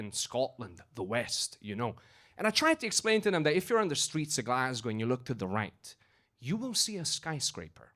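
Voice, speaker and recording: A fairly quick male voice with very wide pitch swings, on a very clean recording with a silent background. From Romania (Hungarian-speaking). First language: Hungarian. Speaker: stand-up comedian. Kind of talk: stand-up. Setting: stage with audience.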